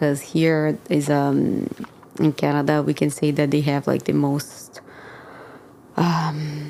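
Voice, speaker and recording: With a Brazilian accent, a woman speaks very slowly at a very deep, low pitch, flat and monotone, with very even loudness and long, frequent pauses over noticeable background noise. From Brazil, São Paulo. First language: Portuguese. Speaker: church member sharing faith story. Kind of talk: podcast interview, testimony. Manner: hesitant, many fillers.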